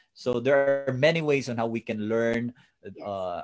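Over music in the background, the speech comes at a moderate pace with fairly even intonation and a dry, close sound with no echo. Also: man. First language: Tagalog/Filipino. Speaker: online show host, coach. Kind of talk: interview. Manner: halting with fillers.

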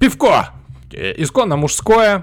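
A man talks very slowly. His pitch swings very widely. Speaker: podcast host. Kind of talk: casual chat.

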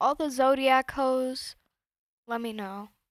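Captured in a very clean recording with a silent background and a dry, close sound free of echo, a woman with a high pitch talks at a fairly slow pace with ordinary pitch variation. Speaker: true crime podcast co-host. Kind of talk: casual chat. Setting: home studio.

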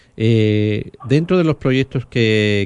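A man is speaking. His pace is very slow. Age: 50s. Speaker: radio host. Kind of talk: radio news and interview. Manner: hesitant, many fillers.

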